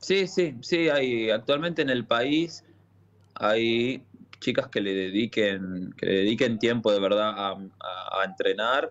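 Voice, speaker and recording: At a very slow pace, a man of medium pitch speaks with lively intonation. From Argentina, Buenos Aires area. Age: 30s. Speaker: football freestyler. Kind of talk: interview. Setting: phone call.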